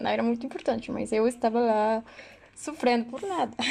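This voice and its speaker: A woman speaks in a fairly high pitch. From Mexico. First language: Spanish (speaking Portuguese). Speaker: university student. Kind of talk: casual chat. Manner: halting.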